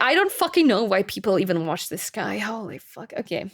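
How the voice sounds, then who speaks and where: A woman with a slight German accent sounds animated, her pitch swinging very widely in a very clean recording with a silent background. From Germany. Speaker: streamer. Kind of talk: casual chat.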